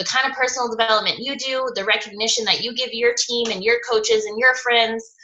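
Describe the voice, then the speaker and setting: A woman speaks at a fairly quick pace with a fairly high pitch. Noticeable background noise runs underneath. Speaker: fitness coach trainer. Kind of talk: online training presentation. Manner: fast.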